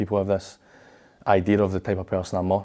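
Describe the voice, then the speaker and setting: A man with a Glaswegian accent talks very fast in a fairly low, flat monotone, recorded very cleanly against a silent background. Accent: Glaswegian Scottish. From Scotland, Glasgow. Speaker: professional footballer. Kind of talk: interview. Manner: halting, frequent fillers and repeats.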